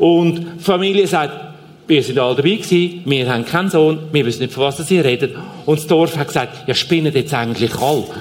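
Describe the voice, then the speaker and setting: A man with a fairly high pitch and ordinary pitch variation speaks at a fairly quick pace. Audible room echo and noticeable background noise are present. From Switzerland, Zurich Oberland. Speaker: aid organization leader. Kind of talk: church stage interview. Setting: church stage.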